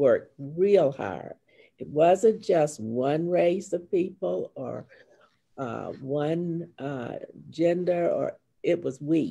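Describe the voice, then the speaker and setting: The speech comes at a very slow pace with an American accent. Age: 80s+. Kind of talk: panel discussion.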